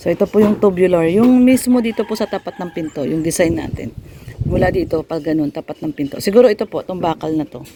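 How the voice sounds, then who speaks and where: Very fast speech over noticeable background noise. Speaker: vlogger. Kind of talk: casual home-building vlog.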